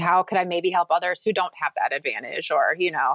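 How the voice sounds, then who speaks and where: In a normal speaking voice, a woman talks at a moderate pace with a fairly low pitch and ordinary pitch variation, the sound dry and close with no echo. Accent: American. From Minnesota. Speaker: podcast host and quilting business owner. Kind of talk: interview.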